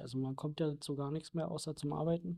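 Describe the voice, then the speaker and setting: Over a quiet background, a man speaks at a moderate pace in a fairly high voice with a dark, mellow tone. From Berlin (northern Berlin). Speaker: pest controller. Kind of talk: interview.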